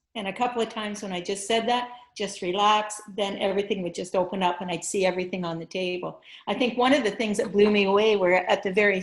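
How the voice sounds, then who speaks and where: With an unremarkable speaking voice, a woman speaks at medium pitch and a fairly quick pace, her intonation fairly even. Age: 60s. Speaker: blindfold vision teacher. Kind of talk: interview.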